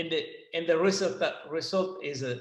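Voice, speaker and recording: A man with a Sicilian accent talks in a high pitch, and his pitch varies in an ordinary way. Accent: Italian (Sicilian) accent in English. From Sicily, Italy. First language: Italian. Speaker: winemaker. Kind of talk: seminar presentation. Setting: online video seminar. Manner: halting, hesitant non-native English.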